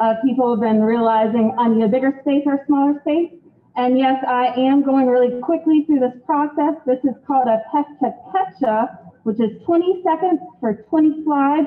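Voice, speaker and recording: A woman speaks with a high pitch and ordinary pitch variation at a moderate pace. Noticeable background noise runs underneath. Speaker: real estate agent. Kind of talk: event welcome speech. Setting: event space with live audience, streamed online.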